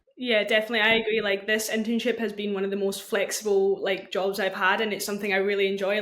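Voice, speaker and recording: A woman with a Scottish accent talks very fast at medium pitch with fairly even intonation over noticeable background noise. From Scotland. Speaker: university student and social media intern. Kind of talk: casual podcast chat.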